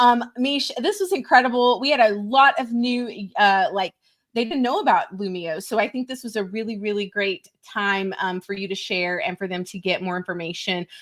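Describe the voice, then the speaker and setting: A woman with an American accent, fairly high pitch, lively intonation and an animated tone at a moderate pace. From US, West Texas. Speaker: webinar host. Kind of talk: live webinar chat.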